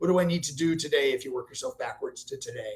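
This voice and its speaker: This man talks very fast. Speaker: consultant presenting on automation. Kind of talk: webinar presentation. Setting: online webinar.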